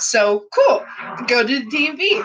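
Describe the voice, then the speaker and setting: A woman uses a raised, projected voice at a high pitch. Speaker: vlogger. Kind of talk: casual vlog monologue. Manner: rambling, self-correcting.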